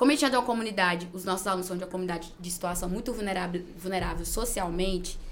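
Amid audible room echo, a woman speaks very fast at a medium pitch with fairly even intonation. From Gurupi, Tocantins, Brazil. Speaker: school principal and teacher. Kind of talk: interview.

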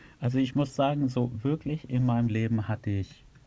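Somewhat breathy speech comes from a man. The tone is dark and mellow. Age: 30s. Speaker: software entrepreneur and podcaster on self-improvement. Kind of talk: interview.

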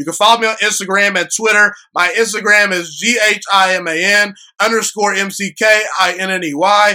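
A man raises and projects his voice, which is high in pitch with a bright, sharp tone. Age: 20s. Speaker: sports podcast host. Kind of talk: solo sports commentary podcast. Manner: animated.

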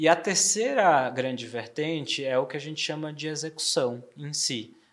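This man's voice sits at a fairly high pitch. The background is silent on a very clean recording. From Bahia, Brazil (Salvador). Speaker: trade marketing director. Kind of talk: interview podcast.

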